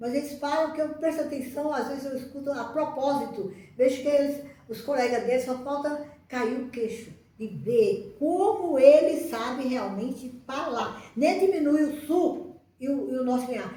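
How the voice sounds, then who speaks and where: With lively intonation and a fairly slow pace, the speech carries audible room echo. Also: woman. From Northeast Brazil, Ceará. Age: 80s+. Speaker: retired schoolteacher. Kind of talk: personal reminiscence to camera. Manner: halting, with many repetitions and restarts.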